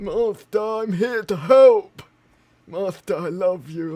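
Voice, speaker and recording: A man speaks in a put-on character voice, high in pitch. His pace is fairly slow, and his pitch varies in an ordinary way. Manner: eager, fawning.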